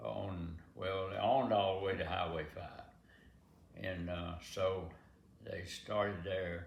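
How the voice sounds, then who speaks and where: The speaker talks at a very slow pace, somewhat breathy, with fairly even intonation. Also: man, very deep, low pitch for a man. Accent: American. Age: 80s+. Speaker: farmer. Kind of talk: interview answer.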